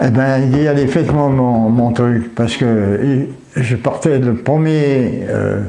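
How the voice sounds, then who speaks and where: A man at medium pitch and a very slow pace, with very even loudness and fairly even intonation. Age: 80s+. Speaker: war veteran. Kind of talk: interview answer.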